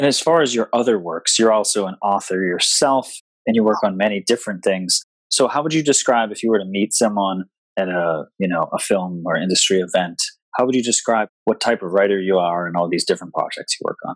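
A man speaks in an ordinary speaking voice, fairly low in pitch, at a fairly quick pace, with a dry, close sound and no echo. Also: ordinary pitch variation. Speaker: podcast host. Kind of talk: scripted intro then interview questions.

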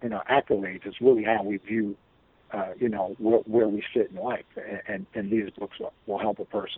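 Using a normal speaking voice, a man with an American accent speaks at a fairly low pitch and a moderate pace, with fairly even intonation. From Chicago. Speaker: DJ and entrepreneur. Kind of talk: interview.

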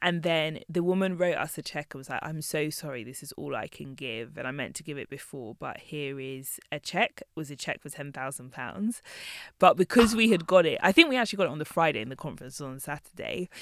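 The speech moves at a fairly quick pace. It is a very clean recording with a silent background. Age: 30s. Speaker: magazine founder. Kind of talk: interview.

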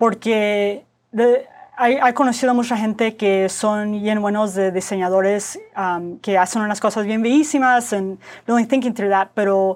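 Speaking at a fairly slow pace, a woman uses a fairly high pitch. Her intonation stays fairly even. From US Southwest (Phoenix, Arizona), Mexican-American family. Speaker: product designer. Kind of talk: casual interview chat, code-switching Spanish and English. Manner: halting Spanish with many fillers and repetitions.

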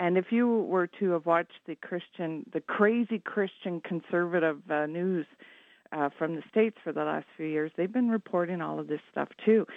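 Here a woman speaks in a normal speaking voice with a Canadian accent. Her pitch is fairly low with ordinary variation, and her pace is moderate. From Canada, Ottawa. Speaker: caller. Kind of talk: call-in opinion. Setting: phone call.

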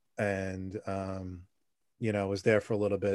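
The recording is very clean with a silent background. The intonation stays flat and monotone. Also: man. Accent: New York. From New York City (Staten Island). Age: 40s. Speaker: podcast guest. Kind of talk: casual interview. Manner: halting.

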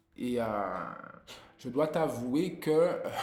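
A man's voice carries audible room echo. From Guadeloupe. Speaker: musician and music teacher. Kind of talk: interview. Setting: music school.

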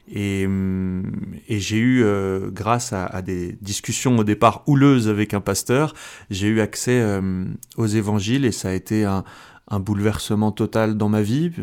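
A man talks at a fairly slow pace, leaving long, frequent pauses. His pitch is fairly low, with ordinary variation. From France, Algerian parents. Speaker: comedian and convert giving testimony. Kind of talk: testimony. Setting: radio studio. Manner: halting, many repetitions.

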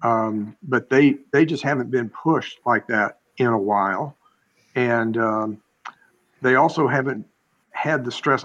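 A man speaks at a medium pitch with fairly even intonation. He has an ordinary speaking voice. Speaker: podcast co-host. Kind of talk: casual chat.

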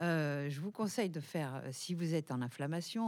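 On a very clean recording with a silent background, a woman speaks at a moderate pace in a very deep, low pitch, her tone dark and mellow and her pitch varying in an ordinary way. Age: 60s. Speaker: nutritionist, naturopath, author. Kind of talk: radio talk show.

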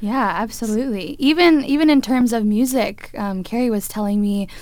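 A normal speaking voice from a woman, moderately paced and with lively intonation. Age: 20s. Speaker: violinist and music teacher. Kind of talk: casual interview.

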